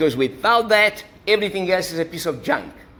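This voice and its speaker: In an Italian accent, a man with a high pitch and a bright, sharp tone uses a raised, projected voice, lively intonation and a moderate pace. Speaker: university lecturer. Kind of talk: lecture.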